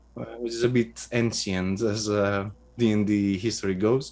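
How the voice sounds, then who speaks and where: A man speaks with a Greek accent. His voice is fairly low and his pace fairly slow. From Greece. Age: 30s. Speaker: game designer and writer. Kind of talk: interview. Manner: halting, many fillers.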